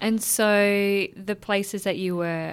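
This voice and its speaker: A woman with an Australian accent speaks very slowly in fairly even intonation. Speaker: writer and guest interviewer. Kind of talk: interview conversation.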